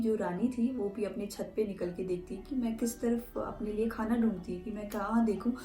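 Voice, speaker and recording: A woman with a fairly high voice speaks with fairly even intonation while music plays in the background. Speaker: folk tale narrator and translator. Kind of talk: retelling a folk tale in Hindi.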